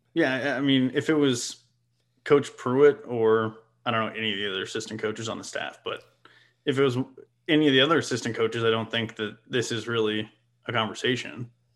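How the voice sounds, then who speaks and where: Speaking at a fairly quick pace with long, frequent pauses, a man with a medium pitch keeps his intonation fairly even. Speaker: sports podcast guest. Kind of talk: casual sports talk conversation. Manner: joking, conversational.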